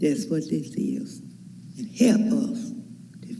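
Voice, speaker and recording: A woman talks at a very slow pace, her pitch fairly high. There is audible room echo and noticeable background noise. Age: 80s+. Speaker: resident speaking at public hearing. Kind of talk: public comment at hearing.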